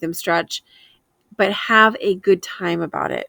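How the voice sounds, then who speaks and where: Speaking at a fairly slow pace, a woman uses a medium pitch. The sound is dry and close, with no echo. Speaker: homesteading and frugal living vlogger. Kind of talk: casual shopping vlog chat. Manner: sounds precise, a little hoity-toity; hesitant fillers.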